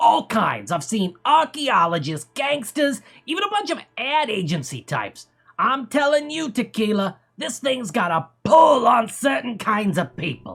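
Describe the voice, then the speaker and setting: A put-on character voice from a man, extremely high-pitched, strained and nasal, with very wide pitch swings at a moderate pace. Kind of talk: comic overacting. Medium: solo performance. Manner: rambling, conspiratorial.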